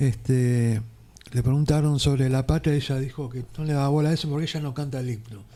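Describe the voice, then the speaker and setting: In a medium pitch with a dark, mellow tone, a man talks at a fairly quick pace with fairly even intonation. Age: 60s. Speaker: radio host. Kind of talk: radio interview. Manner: casual.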